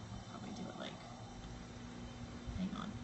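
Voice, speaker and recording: Audible room echo surrounds a woman as she speaks. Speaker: social media blogger. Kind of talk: live stream tutorial. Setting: live stream video. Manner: casual, hesitant with fillers.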